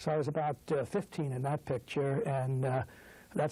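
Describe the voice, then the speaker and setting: A somewhat breathy man with an American accent, fairly high in pitch, at a fairly quick pace, with ordinary pitch variation. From New York City (Brooklyn). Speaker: business executive and trustee. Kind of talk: interview. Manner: hesitant, many filler words.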